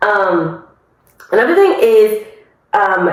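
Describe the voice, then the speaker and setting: Audible room echo surrounds the woman's voice as she talks. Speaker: podcast host. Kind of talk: casual monologue. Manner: loud; many fillers, conversational.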